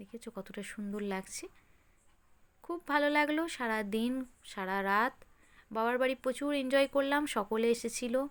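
The recording is very clean, with a silent background. A woman speaks high in pitch, with ordinary pitch variation. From West Bengal, Hooghly district. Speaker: vlogger. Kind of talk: vlog narration. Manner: casual, chatty.

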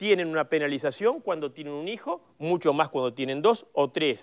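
A man's fairly high voice at a fairly slow pace against a quiet background. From Uruguay. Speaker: politician. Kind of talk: panel discussion. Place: studio.

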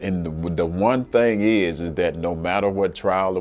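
A man's very deep, low voice at a fairly slow pace, with faint music in the background. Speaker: interviewee. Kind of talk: interview answer. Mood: relaxed, reflective, some laughs. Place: office. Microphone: lapel.

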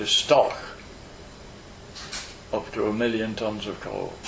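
With noticeable background noise behind him, a man at medium pitch speaks with long, frequent pauses. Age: 80s+. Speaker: retired coal miner. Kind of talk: oral history interview answer.

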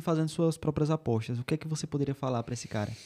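A man speaks at a very fast pace in a dark, mellow tone against a quiet background. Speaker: podcast host. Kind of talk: casual interview. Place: studio. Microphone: studio mic.

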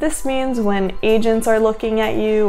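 A woman speaking at a fairly slow pace, with faint music in the background. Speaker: actor giving career advice. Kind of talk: tutorial. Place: home room.

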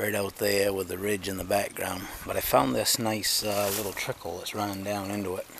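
A man speaks in a normal speaking voice, fairly low in pitch with fairly even intonation. The sound is dry with no echo, and there is light background noise. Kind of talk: casual vlog chat. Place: forest. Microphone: phone near.

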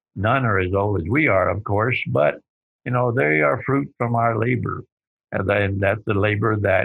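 Speaking with a Texan accent, a man talks at a fairly slow pace in a fairly low voice. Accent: Texan drawl. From Texas. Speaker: nonprofit leader and civil rights organizer. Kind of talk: interview.

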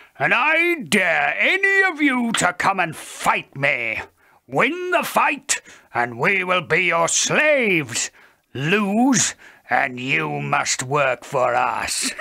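A man bellows in a put-on character voice pitched high. He draws it out at a very slow pace. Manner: bellowing, boastful.

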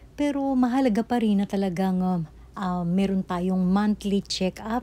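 A woman with a medium pitch speaks at a fairly slow pace. Her pitch varies in an ordinary way. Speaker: health tips vlogger. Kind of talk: vlog tutorial. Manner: hesitant, frequent uh fillers.

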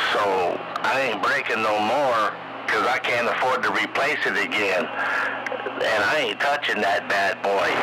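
Loud background noise fills the recording. A man speaks over it at a fairly slow pace. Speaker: CB radio operator. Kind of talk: CB radio chat. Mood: relaxed, friendly. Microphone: phone near.

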